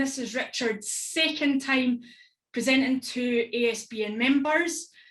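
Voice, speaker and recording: With a strong Scottish accent, a woman talks at a fairly slow pace in a high voice. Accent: thick Stirling Scottish. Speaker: event host. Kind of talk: online event facilitation.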